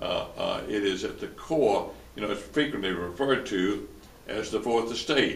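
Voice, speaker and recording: Male voice in a Tennessee accent at a moderate pace, with audible room echo. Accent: US Southern (Tennessee). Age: 80s+. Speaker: lawyer and former newspaper publisher. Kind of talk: interview. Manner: halting, many repetitions and fillers.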